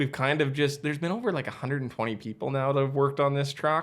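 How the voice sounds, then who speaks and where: With a strong Western Canadian accent, a man talks at a very fast pace and a fairly high pitch in a very clean recording with a silent background. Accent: strong Western Canadian prairie. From Western Canada prairies. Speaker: electric truck company founder. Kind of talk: podcast interview. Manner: casual, animated.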